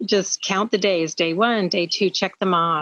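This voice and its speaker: With a normal speaking voice, a woman talks fairly slowly at a fairly low pitch, with ordinary pitch variation. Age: 60s. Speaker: product consultant sharing testimony. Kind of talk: testimony.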